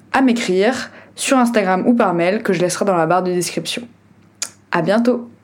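A woman speaks at a fairly slow pace, her pitch shifting in an ordinary way, against noticeable background noise. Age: 20s. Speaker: podcast host, NGO advocacy officer. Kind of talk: scripted podcast introduction monologue.

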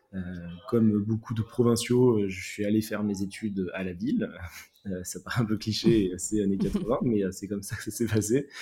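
A man's fairly low, somewhat breathy voice with a dark, mellow tone, fairly even intonation and a moderate pace. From southwest France. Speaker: urban greening entrepreneur. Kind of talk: interview. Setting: remote call. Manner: halting, frequent repetitions.

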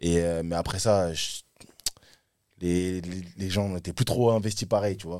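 A man with a very deep, low pitch and dark, mellow tone talks at a fairly slow pace, with long, frequent pauses, fairly even intonation and big swings in loudness. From Paris suburbs, Île-de-France. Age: 20s. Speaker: rapper. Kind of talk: casual chat.

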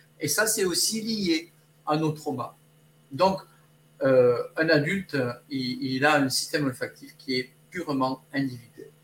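Over noticeable background noise, a man talks at a fairly slow pace with lively intonation. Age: 60s. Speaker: olfactotherapist. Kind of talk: interview. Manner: halting.

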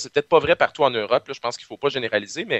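A man speaks with a Quebec accent. His pitch variation is ordinary. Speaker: pharmacist, science communicator. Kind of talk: casual interview chat.

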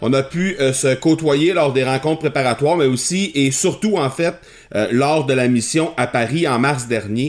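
With music in the background, a man speaks at a fairly slow pace and fairly high pitch, with ordinary pitch variation and very even loudness. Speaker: podcast host and entrepreneur. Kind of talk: interview podcast.

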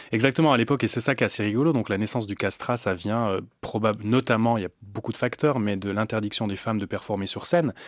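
In a very clean recording with a silent background, a man talks at a very fast pace with hardly any pauses and ordinary pitch variation. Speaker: classical singer and voice teacher. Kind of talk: interview.

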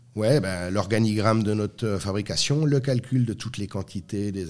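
This man has an ordinary speaking voice, fairly low in pitch, with ordinary pitch variation. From France. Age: 40s. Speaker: master baker and entrepreneur. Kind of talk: interview.

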